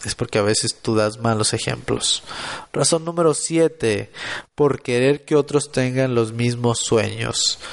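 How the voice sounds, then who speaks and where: A man with an unremarkable speaking voice talks at a fairly slow pace and a medium pitch. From Mexico, Monterrey, Nuevo León. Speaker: podcaster and motivational content creator. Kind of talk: motivational solo podcast monologue.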